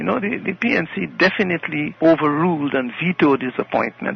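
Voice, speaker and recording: A man with a fairly high voice talks at a fairly quick clip, his intonation lively, over noticeable background noise. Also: hardly any pauses. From Guyana. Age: 90s. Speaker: politician and historian. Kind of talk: interview.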